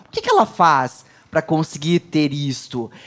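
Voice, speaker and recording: Lively intonation and a moderate pace from a woman with an ordinary speaking voice. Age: 40s. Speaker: entrepreneur and pharmacist. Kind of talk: interview.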